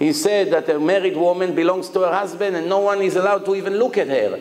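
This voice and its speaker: Against noticeable background noise and audible room echo, a man talks at a high pitch. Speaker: rabbi. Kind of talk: lecture. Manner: animated.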